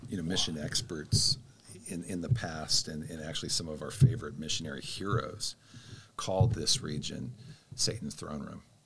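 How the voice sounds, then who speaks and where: This man, with an American accent, has a very deep, low pitch and vocal fry, with very wide pitch swings. He talks at a moderate pace with big swings in loudness. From Spokane, Washington and Texas Hill Country. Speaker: missions leader. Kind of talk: interview testimony.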